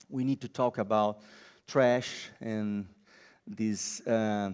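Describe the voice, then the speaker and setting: A man with a Brazilian accent talks with fairly even intonation. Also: very clean recording, silent background. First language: Portuguese. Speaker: designer and biomimicry lecturer. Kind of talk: conference talk. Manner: halting.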